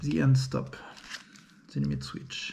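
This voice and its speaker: A man speaks with a French accent. There is noticeable background noise and audible room echo. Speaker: 3D printing hobbyist. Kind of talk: unboxing video. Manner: halting.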